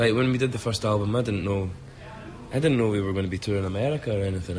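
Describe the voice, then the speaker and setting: This man talks very fast with a Scottish accent, his pitch fairly low and its variation ordinary. The room echoes audibly, and background noise is noticeable. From Scotland. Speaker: rock singer and guitarist. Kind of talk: interview.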